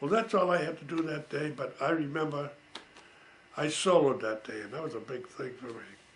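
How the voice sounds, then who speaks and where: A man talks at a fairly quick pace in a fairly high voice with ordinary pitch variation and big swings in loudness. Room echo is audible, and background noise is noticeable. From Massachusetts. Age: 80s+. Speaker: war veteran. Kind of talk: storytelling. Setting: home. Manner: casual.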